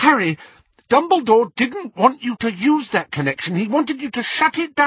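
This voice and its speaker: Putting on a character voice, a man sounds shrill at an extremely high pitch while keeping a moderate pace. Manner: insistent, scolding.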